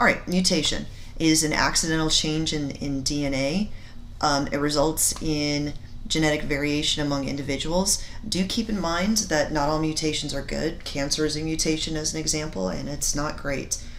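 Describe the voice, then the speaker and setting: In a room with audible echo, a woman with a very deep, low voice speaks at a moderate pace with ordinary pitch variation. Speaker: science teacher. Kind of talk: recorded lecture. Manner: halting; many fillers.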